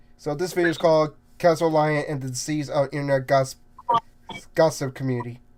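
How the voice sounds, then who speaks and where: A man with a fairly high pitch talks at a fairly quick pace. Background noise is noticeable. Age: 30s. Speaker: voice impressionist and gaming streamer. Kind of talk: casual live stream chat. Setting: live stream. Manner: halting, many false starts.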